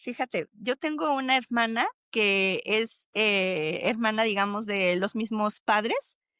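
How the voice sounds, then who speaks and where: A woman speaks very slowly at a fairly high pitch with ordinary pitch variation, her bright, sharp tone held at very even loudness in a dry, close recording with no echo and a quiet background. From Mexico City. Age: 50s. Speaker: thanatologist. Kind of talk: podcast interview. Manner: hesitant, many fillers.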